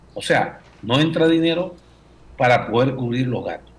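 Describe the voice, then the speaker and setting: Noticeable background noise behind a man's moderate-paced speech, his pitch varying in an ordinary way. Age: 70s. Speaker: former finance minister, economist. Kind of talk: radio interview. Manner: halting with fillers.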